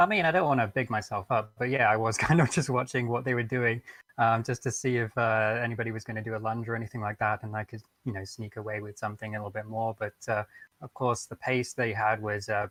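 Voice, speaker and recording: Delivered at a very fast pace with a British accent, the speech keeps a fairly even intonation. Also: man, medium pitch for a man, dry, close sound with no echo. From England. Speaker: sim racing driver. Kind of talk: post-race interview.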